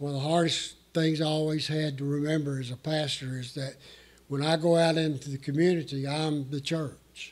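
At a moderate pace, a man delivers his words in a monotone, flat intonation. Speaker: pastor. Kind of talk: sermon. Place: church. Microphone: podium.

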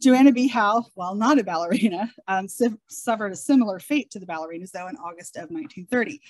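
A woman with a Midwestern American accent speaks very fast with hardly any pauses, somewhat breathy, with lively intonation and big swings in loudness. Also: fairly high pitch for a woman. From Ohio. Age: 40s. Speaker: genealogist. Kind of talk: lecture. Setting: stage with audience.

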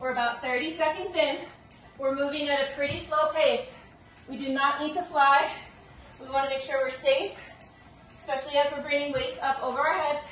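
There is audible room echo and faint background music as a woman talks in a high pitch with fairly even intonation. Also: fairly quick pace. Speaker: fitness instructor. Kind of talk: workout instruction, counting down. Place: home room. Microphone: camera far.

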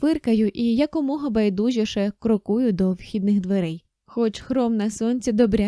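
An unforced reading voice with ordinary pitch variation sits over a quiet background.

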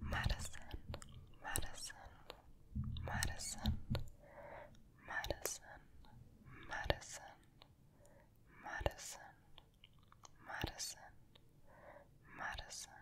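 Long, frequent pauses break up this whispering, delivered at a very slow pace. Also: woman. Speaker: ASMR creator. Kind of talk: ASMR whisper, repeating names. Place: home room. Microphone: studio mic.

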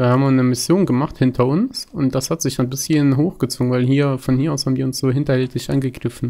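Speaking at a fairly quick pace, a man with a medium pitch keeps his intonation fairly even in a dark, mellow tone. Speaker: gaming YouTuber. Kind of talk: casual gameplay commentary. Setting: online voice chat while gaming.

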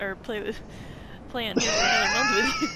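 The sound is dry with no echo, but loud background noise is present. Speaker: gamer. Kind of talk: casual gameplay commentary. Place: home room.

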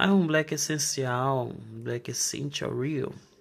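A man with a Brazilian accent speaks very slowly, with ordinary pitch variation. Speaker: online reseller. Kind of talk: street-seller style sales pitch, unboxing and product showcase. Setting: home video, unboxing to camera. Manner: animated, pitchy, hawking products with a chatty direct-to-camera patter; repeatedly addresses the audience as 'gente' and pushes bargains. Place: home room. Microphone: phone near.

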